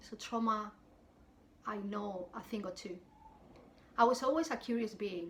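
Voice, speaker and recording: A woman with a strong Spanish accent speaks at a moderate pace in a fairly high, somewhat breathy voice, with ordinary pitch variation, big swings in loudness, and long, frequent pauses. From southern Spain. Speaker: wellness coach, YouTuber. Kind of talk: personal testimony to camera.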